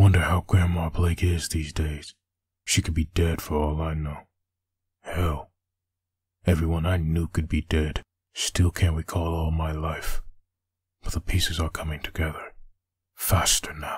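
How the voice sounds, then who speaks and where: At a moderate pace, a man talks in a very deep, low pitch. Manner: menacing, threatening; brooding, bitter inner monologue.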